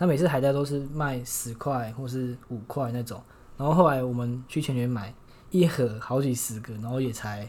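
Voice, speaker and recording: At a moderate pace, a man speaks at medium pitch with ordinary pitch variation, his voice somewhat breathy and the room echo audible. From Taiwan, Shulin (New Taipei). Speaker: university student. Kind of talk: casual chat.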